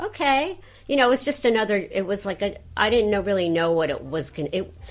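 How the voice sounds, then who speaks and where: Over music in the background, a woman talks with an American accent. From New York. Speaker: voice actress. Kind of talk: interview. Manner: halting.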